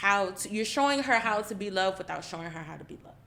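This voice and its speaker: A woman talks at a fairly quick pace. Her pitch sits in the medium range, with ordinary variation. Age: 30s. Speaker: roundtable participant, parent. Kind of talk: casual group discussion.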